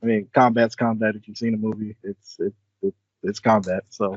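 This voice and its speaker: This man's pitch is fairly low. He speaks with a Southern Louisiana accent. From South Louisiana, US South. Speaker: software program manager, military veteran. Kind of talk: casual interview chat.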